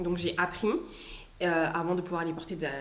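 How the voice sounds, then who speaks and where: A woman talks at medium pitch. Her voice carries audible room echo, and there is noticeable background noise. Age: 20s. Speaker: student and content creator. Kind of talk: interview conversation.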